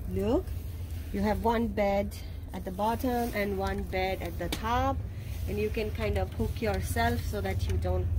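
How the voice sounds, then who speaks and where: There is noticeable background noise as a woman talks at a fairly slow pace with ordinary pitch variation. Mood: relaxed, informative. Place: train. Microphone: phone near.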